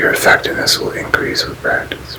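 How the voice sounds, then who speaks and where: Whispering at a fairly quick pace over noticeable background noise. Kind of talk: whispered ASMR reading of a spiritual book. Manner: whispered, soft.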